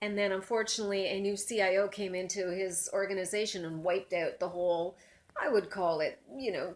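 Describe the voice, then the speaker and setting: Speaking at a fairly quick pace, a woman has an unremarkable speaking voice at a medium pitch, with fairly even intonation. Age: 60s. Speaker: career coach. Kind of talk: casual debate.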